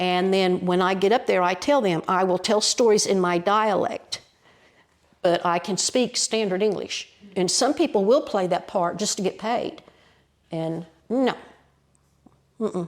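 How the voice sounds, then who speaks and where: Speaking fairly slowly with long, frequent pauses, a woman uses a medium pitch and ordinary pitch variation. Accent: Appalachian. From Appalachia. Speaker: storyteller. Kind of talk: interview answer.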